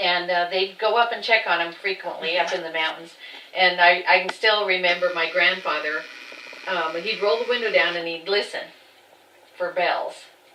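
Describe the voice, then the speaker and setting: A woman's fairly low voice at a moderate pace, fairly even in intonation, with audible room echo and noticeable background noise. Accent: American. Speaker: farm family member. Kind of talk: oral history interview.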